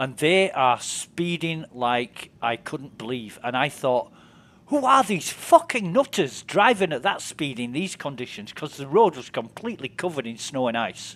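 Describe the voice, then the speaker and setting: A man with a Yorkshire accent talks at a moderate pace and fairly high pitch, with lively intonation and big swings in loudness. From northern England, West Yorkshire. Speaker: game streamer. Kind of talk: casual chat.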